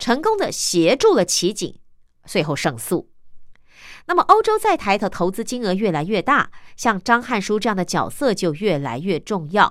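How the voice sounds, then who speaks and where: At a moderate pace, a woman speaks at a fairly high pitch with very wide pitch swings, in a very clean recording with a silent background. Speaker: radio host. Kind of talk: radio news magazine reading. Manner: chatty, many particles like 哦 啊.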